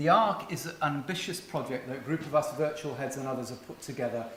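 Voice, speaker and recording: Speaking with an English accent, a man has a fairly high pitch and ordinary pitch variation. Audible room echo and noticeable background noise are present. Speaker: virtual school head, conference speaker. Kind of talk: conference talk.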